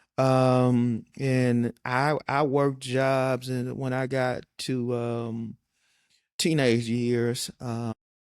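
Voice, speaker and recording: Monotone, flat intonation from a man at a medium pitch with a slight Southern US accent, in a dry, close sound with no echo. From western Michigan. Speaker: county administrator. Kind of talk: interview.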